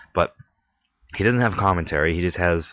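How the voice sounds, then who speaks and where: Very deep and low in pitch, a man's voice carries a bright, sharp tone. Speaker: podcast host. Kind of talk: casual monologue. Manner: halting, many fillers.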